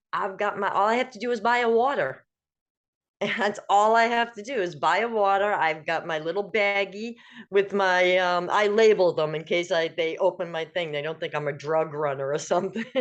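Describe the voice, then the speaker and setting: A woman uses a normal speaking voice at a medium pitch with ordinary pitch variation. She speaks at a moderate pace over a quiet background. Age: 60s. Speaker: guest sharing wellness story. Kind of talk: casual chat.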